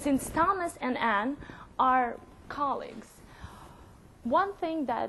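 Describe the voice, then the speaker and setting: A woman's voice moves at a fairly slow pace, and her pitch varies in an ordinary way. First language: not English. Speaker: software consultant. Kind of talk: conference presentation with live demo. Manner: halting.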